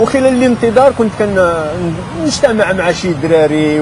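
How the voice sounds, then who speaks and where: Someone with a Moroccan accent speaks at a fairly slow pace amid noticeable background noise. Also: man. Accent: Moroccan Darija. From Morocco. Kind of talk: interview answer.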